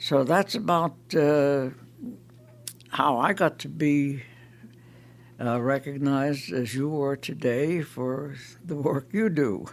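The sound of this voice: This man talks slowly in an American accent. His pitch is medium, with ordinary variation.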